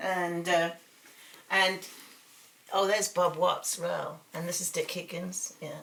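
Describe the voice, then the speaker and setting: A woman with a British accent speaks at a very slow pace with long, frequent pauses, monotone, flat intonation and big swings in loudness, over noticeable background noise. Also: fairly low pitch for a woman. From England. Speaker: artist. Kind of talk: interview. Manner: hesitant with fillers.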